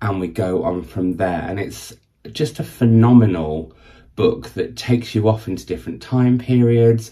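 In a northern English accent, a man speaks at a moderate pace with a dark, mellow tone, a fairly low pitch, and a somewhat breathy quality. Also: ordinary pitch variation. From northern England. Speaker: book vlogger. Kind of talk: casual video monologue. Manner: chatty, waffling.

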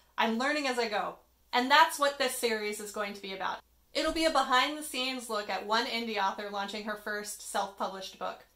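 Pitch shifting in an ordinary way, a woman speaks fairly quickly. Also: big swings in loudness. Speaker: author vlogger. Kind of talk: casual vlog chat. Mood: friendly, self-deprecating. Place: home room. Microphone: phone near.

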